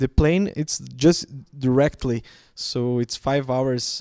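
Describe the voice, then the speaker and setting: Recorded very cleanly against a silent background, with a dry, close sound and no echo, a man with a Portuguese accent speaks at medium pitch in a dark, mellow tone with ordinary pitch variation. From Brazil. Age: 30s. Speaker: panelist. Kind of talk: panel discussion. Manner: halting.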